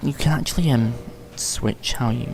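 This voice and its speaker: A man mumbling. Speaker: gaming youtuber. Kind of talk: gameplay commentary tutorial. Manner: hesitant, many ums.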